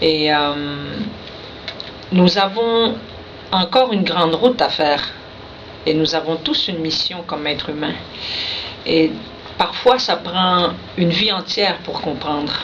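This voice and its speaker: Fairly low female voice at a fairly slow pace, ordinary pitch variation, long, frequent pauses, audible room echo and noticeable background noise. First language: Innu (speaking French). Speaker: poet. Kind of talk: radio interview. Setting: radio studio.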